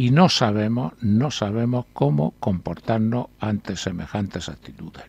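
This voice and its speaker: A man with a fairly low, somewhat breathy voice speaks at a fairly slow pace with lively intonation and big swings in loudness. The sound is dry, with no echo. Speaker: newspaper columnist. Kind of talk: reading aloud an article and discussing it. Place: studio.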